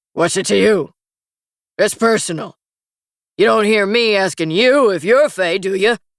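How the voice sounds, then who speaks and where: A put-on character voice, raspy, gruff, growling and rumbling, at a middle pitch and moderate pace with long, frequent pauses. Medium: read story. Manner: gruff, grumbling.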